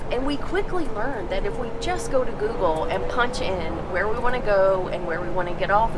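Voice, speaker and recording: A woman speaks at a moderate pace with a high pitch and lively intonation, with audible room echo and music in the background. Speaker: travel vlogger. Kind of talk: casual travel vlog narration.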